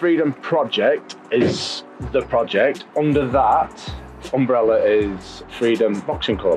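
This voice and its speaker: Very slow speech from a man, his loudness very even, over faint background music. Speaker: boxing coach. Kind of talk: interview answer. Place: gym.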